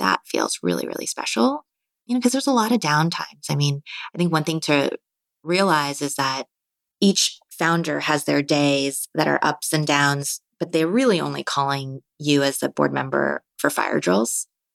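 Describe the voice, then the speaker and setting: In a Californian accent, the speaker talks at a moderate pace with lively intonation on a very clean recording over a silent background. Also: woman, very deep, low pitch for a woman. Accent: General American (Californian). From US West Coast, Marin County, California. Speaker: venture capital investor. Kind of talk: interview.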